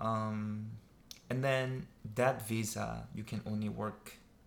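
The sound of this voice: Slow speech with vocal fry and ordinary pitch variation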